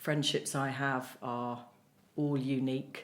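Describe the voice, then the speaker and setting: A woman speaks with monotone, flat intonation. Audible room echo fills the recording. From Merseyside, north-west England. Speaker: playwright and cancer survivor. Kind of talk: podcast interview. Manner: fast.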